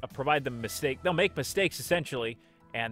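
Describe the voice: In this plain reading aloud, the intonation is lively.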